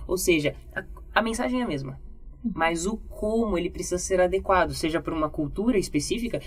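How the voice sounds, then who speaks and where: Over music in the background, a woman with a fairly low voice speaks at a fairly quick pace with ordinary pitch variation. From Brazil. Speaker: communication and public speaking teacher. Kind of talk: podcast testimony conversation.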